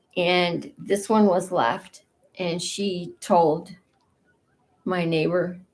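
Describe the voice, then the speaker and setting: A woman with a fairly low pitch speaks at a very slow pace, with long, frequent pauses. Her intonation is fairly even. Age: 60s. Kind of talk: casual personal vlog.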